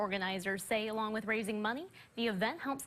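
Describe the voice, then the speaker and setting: A woman with an American accent has an unremarkable speaking voice at a fairly high pitch. She talks at a fairly quick pace with ordinary pitch variation. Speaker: TV news anchor. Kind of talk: TV news anchor delivery. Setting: TV studio.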